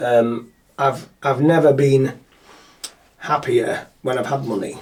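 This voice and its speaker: A man with a Yorkshire accent talks at a fairly slow pace in a somewhat breathy, medium-pitched voice with fairly even intonation. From northern England, Yorkshire (Scarborough). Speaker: local businessman, podcast guest. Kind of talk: casual chat.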